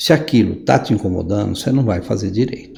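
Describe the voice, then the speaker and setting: Medium pitch, moderate pace and lively intonation in a man's plain, everyday voice. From Brazil, São Paulo. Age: 60s. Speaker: lawyer and writer, podcast guest. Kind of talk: interview conversation.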